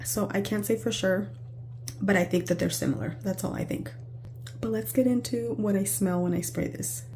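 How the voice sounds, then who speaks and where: Over noticeable background noise, a woman with a very deep, low pitch speaks at a moderate pace, her pitch swinging very widely. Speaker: perfume reviewer. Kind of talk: product review vlog. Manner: casual, meandering.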